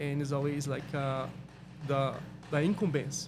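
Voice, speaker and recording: A man speaks at a moderate pace and a fairly high pitch, with audible room echo. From Brazil, Minas Gerais. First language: Portuguese. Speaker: vinyl wrap installer. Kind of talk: casual chat. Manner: halting.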